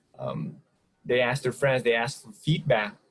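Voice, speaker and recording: The man's voice is medium in pitch and somewhat breathy. His pitch varies in an ordinary way. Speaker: podcast co-host. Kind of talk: casual podcast conversation. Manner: occasional stuttering.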